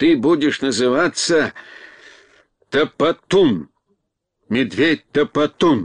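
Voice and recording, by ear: In a put-on character voice with a slightly husky edge, the speaker goes at a slow pace with lively intonation, the sound dry and close with no echo. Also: man, medium pitch for a man.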